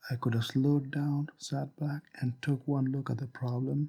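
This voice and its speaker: In a non-native accent, a man with a medium pitch and a dark, mellow tone speaks in a flat monotone that is somewhat breathy. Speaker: hobbyist game developer. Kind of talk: casual talk to camera.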